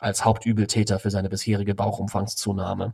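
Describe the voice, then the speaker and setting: A man speaks at a moderate pace with a fairly low pitch. He has an ordinary speaking voice. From Cologne, Germany. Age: 20s. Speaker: nutrition scientist. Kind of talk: interview.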